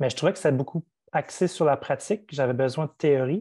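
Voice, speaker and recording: This voice has a dark, mellow tone and ordinary pitch variation. It moves at a moderate pace over a quiet background. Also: man. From New Brunswick, Canada (First Nation, Madawaska). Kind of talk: interview. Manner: hesitant, many fillers.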